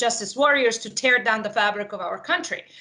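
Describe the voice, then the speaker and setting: A woman with a fairly high pitch speaks at a moderate pace with ordinary pitch variation. Noticeable background noise can be heard. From Yugoslavia. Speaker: political candidate. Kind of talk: interview.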